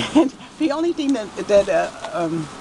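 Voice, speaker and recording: A woman in a New York accent, at a moderate pace, with very wide pitch swings and noticeable background noise. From New York City (Queens). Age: 80s+. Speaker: shop owner. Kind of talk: interview. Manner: casual, halting.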